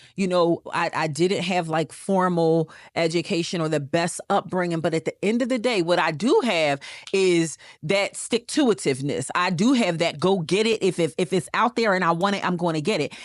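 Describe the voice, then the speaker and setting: A woman with a fairly low pitch speaks in an animated tone at a moderate pace, with ordinary pitch variation and very even loudness. The sound is dry and close with no echo against a quiet background. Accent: Philadelphia. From US Northeast, Philadelphia. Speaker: real estate investor. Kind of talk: casual chat.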